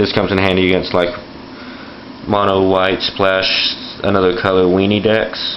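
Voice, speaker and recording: With noticeable background noise and audible room echo, a man with a very deep, low voice talks at a moderate pace. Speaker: card game video host. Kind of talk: tutorial. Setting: home bathroom floor. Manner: fluctuating volume. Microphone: camera recording, poor quality.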